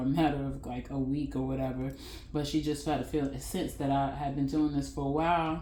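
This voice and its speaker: The speech comes at a very fast pace, and room echo can be heard. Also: woman. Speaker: tarot reader. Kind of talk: spiritual guidance monologue. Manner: casual, halting.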